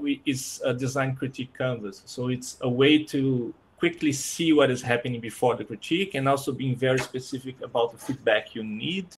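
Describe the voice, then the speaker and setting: Speaking at a fairly quick pace with a Portuguese accent, a man sounds somewhat breathy and shows ordinary pitch variation. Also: medium pitch for a man, hardly any pauses. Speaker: design operations speaker on a panel. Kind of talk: panel presentation. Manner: halting with repeated words.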